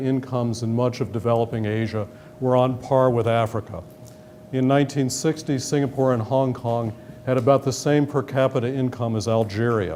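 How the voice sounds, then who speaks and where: Over noticeable background noise, a speaker with an American accent talks at a fairly quick pace with fairly even intonation. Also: man. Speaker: government economic official. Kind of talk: lecture. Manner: formal.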